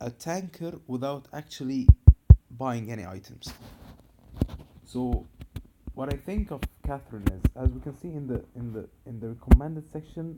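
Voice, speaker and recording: A man with an Arabic accent speaks at a medium pitch in a dark, mellow tone, at a moderate pace with ordinary pitch variation. His loudness swings widely, and he takes long, frequent pauses. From Egypt. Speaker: gaming video creator. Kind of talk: tutorial.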